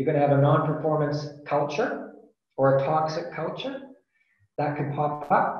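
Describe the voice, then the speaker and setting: A man speaks at a fairly slow pace in a somewhat breathy, fairly high voice, with monotone, flat intonation. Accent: Canadian. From Canada. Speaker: business consultant. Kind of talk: webinar talk. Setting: video call.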